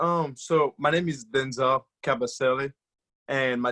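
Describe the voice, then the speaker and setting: In a Congolese accent, a man talks at a medium pitch with ordinary pitch variation. His moderate pace comes through in a dry, close sound with no echo. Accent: Congolese French-speaking. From DR Congo. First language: French. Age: 20s. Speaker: guest speaker. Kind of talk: motivational talk.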